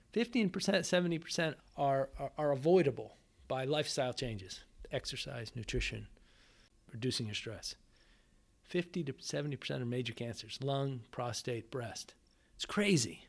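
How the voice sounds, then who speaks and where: Using an ordinary speaking voice, a man talks at a medium pitch with lively intonation. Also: moderate pace. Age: 50s. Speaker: cancer survivor and cyclist. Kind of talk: interview.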